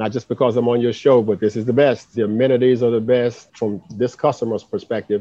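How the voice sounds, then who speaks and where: A man speaks at a medium pitch in an ordinary speaking voice. His intonation stays fairly even. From US South, Birmingham, Alabama. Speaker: city commerce director. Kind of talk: interview.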